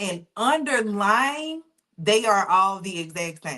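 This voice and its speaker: Her tone comes across bright and sharp. The woman talks in a Southern US accent. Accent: Southern US, noticeable. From US South. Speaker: data engineer and SQL instructor. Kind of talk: live online class, teaching. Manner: casual, conversational.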